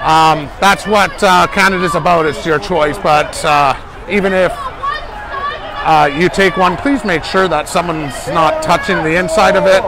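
Crowd noise fills the background as a man speaks. The sound itself is dry, with no echo. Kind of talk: live walking commentary. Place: street. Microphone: phone near.

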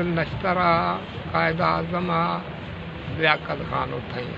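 A man talks in a monotone with flat intonation. Noticeable background noise sits behind him. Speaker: elder recounting history. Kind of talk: oral history interview answer. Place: shop. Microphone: phone near.

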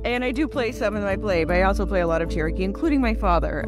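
Over clear music in the background, a woman talks at a very fast pace in a dry sound with no echo. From Cherokee Nation, United States. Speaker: Cherokee actress and activist, one-woman show performer. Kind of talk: promotional talk to camera about her own show. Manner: warm, enthusiastic, conversational. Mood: warm, reflective.

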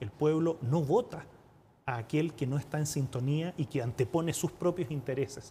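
A man with a Chilean accent speaks at a moderate pace, somewhat breathy, fairly high in pitch with a dark, mellow tone and ordinary pitch variation, over light background noise. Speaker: UN representative, former politician; former politician. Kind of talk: TV interview. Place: studio. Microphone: lapel.

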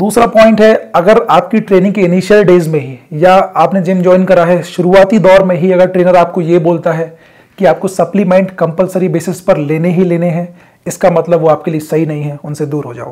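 With few pauses, a man talks at a fairly quick pace and high pitch, his tone slightly mellow and his intonation fairly even.

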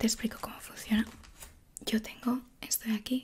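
Soft-spoken and gentle in tone, a woman talks. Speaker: ASMR creator playing a doctor. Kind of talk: soft-spoken roleplay. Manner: soft-spoken, gentle ASMR voice. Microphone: studio mic.

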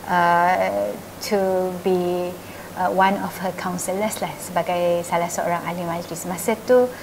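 There is noticeable background noise. A woman speaks over it at a fairly slow pace. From Malaysia. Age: 30s. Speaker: state assembly member; interviewee. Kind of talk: interview. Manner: gentle. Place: shop.

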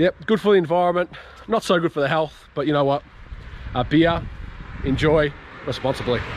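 Over light background noise in a dry sound with no echo, a man talks at a fairly quick pace with ordinary pitch variation. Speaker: travel vlogger. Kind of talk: casual vlog chat. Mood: relaxed and cheerful. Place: street. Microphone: phone near.

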